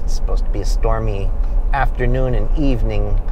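A man is speaking. The sound is dry with no echo, but there is noticeable background noise. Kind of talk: casual vlog chat. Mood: relaxed, conversational. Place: car.

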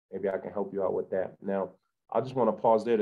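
A man speaks at a fairly low pitch against a quiet background. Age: 40s. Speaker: author; podcast guest. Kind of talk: casual chat. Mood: warm, reflective. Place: home room. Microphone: video call.

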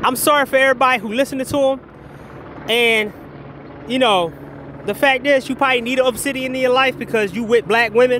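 A man's animated, extremely high voice at a very fast pace, broken by long, frequent pauses, with noticeable background noise. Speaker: commentary vlogger. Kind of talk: casual rant. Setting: outdoors. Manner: halting.

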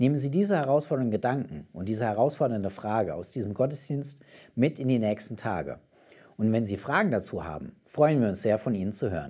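The setting behind the voice is quiet. A man speaks at a moderate pace. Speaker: German-language show presenter. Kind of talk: announcement, closing message. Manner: formal, warm. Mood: warm, calm, encouraging.

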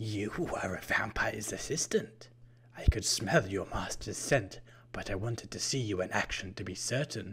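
A man whispering in a put-on character voice. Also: moderate pace. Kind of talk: odd, stilted way of talking.

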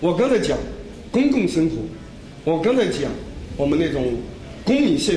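Pitch swings very widely as a man talks at a moderate pace against noticeable background noise. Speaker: journalist and commentator. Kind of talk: lecture. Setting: stage with audience. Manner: halting.

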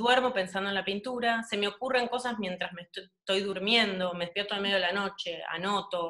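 A woman speaks at a moderate pace in a bright, sharp tone, with ordinary pitch variation, hardly any pauses and a quiet background. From Argentina. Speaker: painter; interviewee. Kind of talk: casual interview. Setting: home, video call. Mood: relaxed, animated. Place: home room. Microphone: video call.

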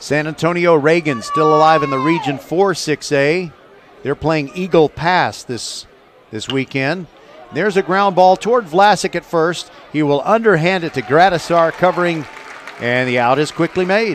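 A man with a fairly high pitch speaks against noticeable background noise. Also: ordinary pitch variation, moderate pace. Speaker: radio play-by-play broadcaster. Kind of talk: live baseball play-by-play commentary. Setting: ballpark broadcast at university stadium.

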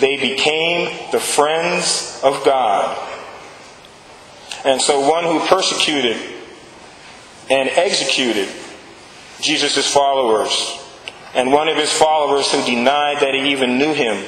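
At a fairly slow pace, a man speaks in a fairly high pitch with ordinary pitch variation and long, frequent pauses, amid noticeable background noise. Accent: American. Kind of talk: sermon.

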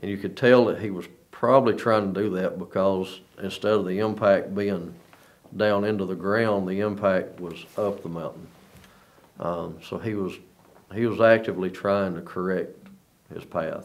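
Speaking at a moderate pace with long, frequent pauses, a man holds a fairly low pitch and a flat, monotone intonation. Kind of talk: interview answer. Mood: calm, reflective. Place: studio.

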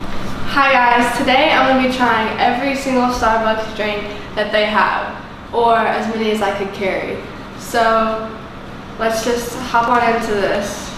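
A woman speaks with fairly even intonation. Strong room echo and noticeable background noise fill the recording. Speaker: vlogger. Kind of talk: casual vlog chat. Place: home room. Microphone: camera far.

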